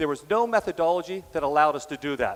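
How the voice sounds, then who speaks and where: The man here speaks at a high pitch. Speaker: business executive and conference keynote speaker. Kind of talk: conference keynote. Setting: stage with audience. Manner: fast.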